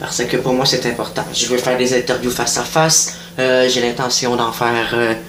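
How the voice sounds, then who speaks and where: The speaker has a Quebec accent and a moderate pace. Audible room echo and noticeable background noise fill the recording. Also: man. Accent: Québécois French. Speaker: online news page creator. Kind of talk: casual monologue. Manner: hesitant, many fillers.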